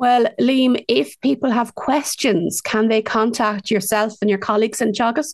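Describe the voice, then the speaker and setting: An Irish Midlands accent, ordinary pitch variation, very even loudness and hardly any pauses. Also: woman, fairly high pitch for a woman, moderate pace. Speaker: local radio host. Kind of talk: radio show presenting. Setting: radio studio.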